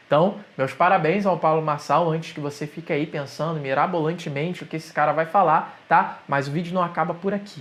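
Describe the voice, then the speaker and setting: A man with a Rio de Janeiro accent talks at a fairly quick pace, with hardly any pauses. His pitch is fairly high and his intonation fairly even. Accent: carioca. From Rio de Janeiro, Brazil. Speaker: digital entrepreneur, YouTuber. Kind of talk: opinion monologue to camera.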